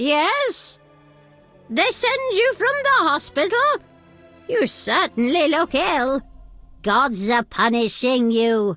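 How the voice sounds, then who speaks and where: Putting on a character voice, a woman speaks very slowly at a high pitch with very wide pitch swings, very even loudness, long, frequent pauses and faint music in the background. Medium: video game.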